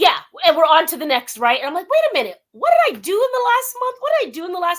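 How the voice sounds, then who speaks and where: A woman with an American accent talks very fast at an extremely high pitch, with very wide pitch swings and big swings in loudness. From Southern California (West Covina). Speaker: radio talk show host. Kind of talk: interview. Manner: animated.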